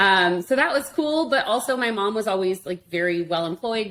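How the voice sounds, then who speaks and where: A woman with an American accent, lively intonation and a fairly quick pace, over noticeable background noise. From Arizona, US (Tucson). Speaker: internet marketing expert. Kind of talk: interview conversation. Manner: fast.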